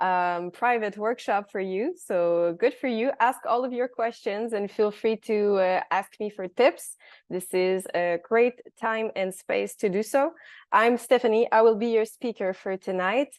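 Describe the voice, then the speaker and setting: Against a quiet background, a woman speaks fairly slowly in a fairly high voice with ordinary pitch variation, the sound dry and close with no echo. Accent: strong Quebec. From Quebec City. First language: French. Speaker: workshop presenter, biologist. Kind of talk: online workshop presentation. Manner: hesitant, searching for words.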